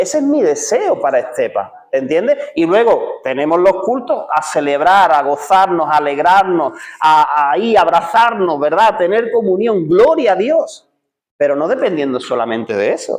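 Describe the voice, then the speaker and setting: Speaking at a moderate pace, a man with a high pitch makes very wide pitch swings. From Seville, Spain. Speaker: pastor. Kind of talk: sermon. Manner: conversational, with many filler words and repetitions.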